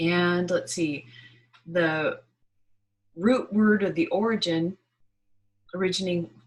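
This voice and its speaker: Somewhat breathy and fairly low in pitch, a woman speaks at a very slow pace with ordinary pitch variation. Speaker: spiritual channel host. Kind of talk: monthly energy reading talk. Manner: halting with fillers.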